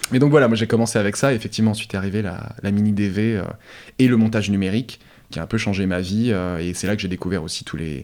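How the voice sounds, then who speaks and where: The recording is very clean, with a silent background. A man talks at a very fast pace and a fairly low pitch, with ordinary pitch variation. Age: 30s. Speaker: music video director. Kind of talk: interview. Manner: halting, with many repetitions.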